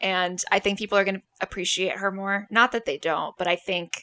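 Her tone bright and sharp, a woman talks at a fairly quick pace with medium pitch. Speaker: podcast host. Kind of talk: casual chat.

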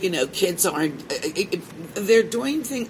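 Noticeable background noise fills the recording. Over it, a woman talks with an American accent. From Pittsburgh, Pennsylvania. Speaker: cannabis radio host. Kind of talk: casual interview. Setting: expo hall.

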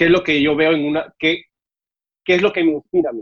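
A man with a normal speaking voice talks fairly quickly, his pitch varying in an ordinary way. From Mexico City (born in Cuba, left at seven). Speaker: TV host. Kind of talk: casual interview. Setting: remote video call.

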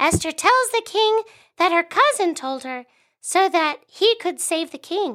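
A woman uses a put-on character voice that is squeaky and extremely high, with a fairly bright tone and lively intonation. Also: fairly slow pace.

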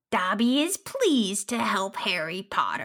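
Using a put-on character voice, a female-sounding voice speaks at a moderate pace with a fairly high pitch. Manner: eager, servile.

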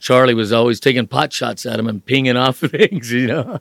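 A man with a plain, everyday voice speaks at a moderate pace, with a medium pitch and fairly even intonation. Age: 60s. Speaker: driver's education instructor, retired salesman. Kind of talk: casual interview, storytelling.

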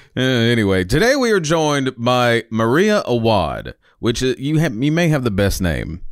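A man with a Southern US accent, medium pitch, very wide pitch swings and an animated tone, at a moderate pace with very even loudness and hardly any pauses, on a very clean recording with a silent background. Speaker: podcast host. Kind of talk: scripted narration; casual chat. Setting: studio.

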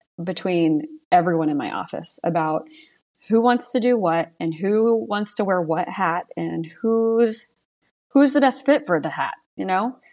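In an ordinary speaking voice, a woman talks at a medium pitch with lively intonation. Her pace is fairly slow, with a quiet background. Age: 30s. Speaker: insurance agency owner. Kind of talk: casual chat.

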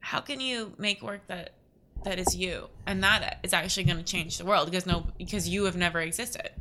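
A woman speaks with an American accent and a bright, sharp tone. Her pitch varies in an ordinary way, with vocal fry. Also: medium pitch for a woman, moderate pace. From Florida (Naples, west coast). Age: 20s. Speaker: painter. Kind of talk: casual interview.

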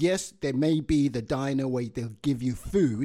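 With a Yoruba accent, a man talks at a moderate pace in a dark, mellow tone of medium pitch, with ordinary pitch variation. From Nigeria. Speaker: podcast host. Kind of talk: casual chat.

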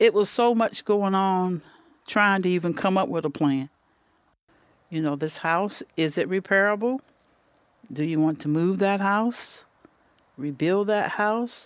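A woman with an eastern North Carolina accent talks at a fairly slow pace with ordinary pitch variation and long, frequent pauses. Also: medium pitch for a woman. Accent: eastern North Carolina Southern. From eastern North Carolina, Pender County. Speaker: retired hurricane survivor. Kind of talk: interview testimony. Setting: outdoors on a porch.

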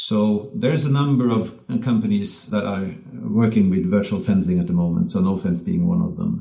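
A man in a Norwegian accent, medium in pitch, with very wide pitch swings and audible room echo. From Norway. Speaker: tech company CEO. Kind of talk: podcast interview.

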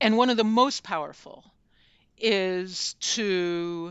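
A woman's normal speaking voice, at medium pitch with ordinary pitch variation, in an American accent. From United States. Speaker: journalist and author. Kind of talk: interview.

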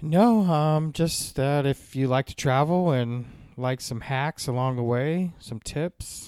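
A man with an American accent, fairly high in pitch, at a very slow pace with ordinary pitch variation, on a very clean recording with a silent background. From Guam; raised on US military base in Japan. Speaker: podcast host. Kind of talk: casual chat.

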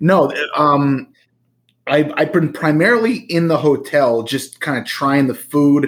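In an American accent, a man with a normal speaking voice speaks at a fairly slow pace with ordinary pitch variation. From New Jersey. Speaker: podcast co-host. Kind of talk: casual chat.

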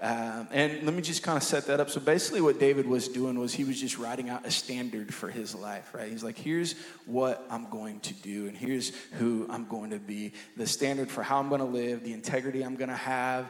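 A man's medium-pitched voice at a fairly quick pace, with audible room echo and noticeable background noise. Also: ordinary pitch variation. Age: 20s. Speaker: pastor and worship leader. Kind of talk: sermon. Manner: halting.

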